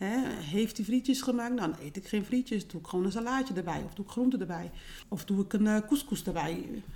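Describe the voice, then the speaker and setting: Somewhat breathy, a woman speaks with a dark, mellow tone. Her pace is fairly quick and her intonation lively. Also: medium pitch for a woman. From Netherlands. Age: 40s. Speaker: home care business owner. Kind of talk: interview.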